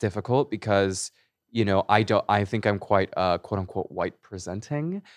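A man with an American accent at a moderate pace, the sound dry and close with no echo against a quiet background. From California. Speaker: actor and musician. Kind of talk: casual chat. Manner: animated.

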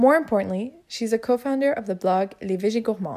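This woman has a plain, everyday voice with a fairly high pitch. She moves at a fairly quick pace with lively intonation. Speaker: student podcast host. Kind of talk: podcast intro.

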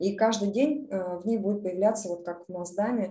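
The voice is dark and mellow in tone and somewhat breathy. Its pitch variation is ordinary. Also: woman. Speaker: project portfolio manager. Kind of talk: online presentation.

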